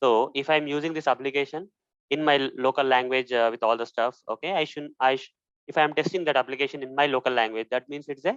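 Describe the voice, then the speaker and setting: A man with a Telugu accent talks at a very fast pace and a fairly high pitch. His pitch variation is ordinary, and the sound is dry and close with no echo. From India. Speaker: software testing instructor. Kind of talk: tutorial. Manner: hesitant, many fillers.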